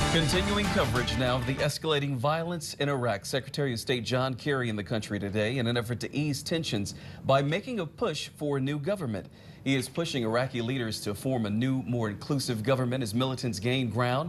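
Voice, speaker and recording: This man's voice sits at a medium pitch and sounds somewhat breathy. His pitch varies in an ordinary way. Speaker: TV news anchor and reporter. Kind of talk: TV news anchor delivery.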